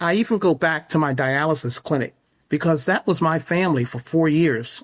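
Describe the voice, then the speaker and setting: With an American accent and an ordinary speaking voice, a man talks at a moderate pace, his pitch fairly high with ordinary pitch variation, on a very clean recording with a silent background. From upstate New York. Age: 60s. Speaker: horse stable owner. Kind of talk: interview.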